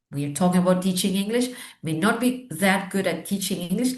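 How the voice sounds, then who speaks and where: Somewhat breathy, a woman's voice comes through. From Argentina. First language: Spanish. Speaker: teacher trainer and education consultant. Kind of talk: interview conversation.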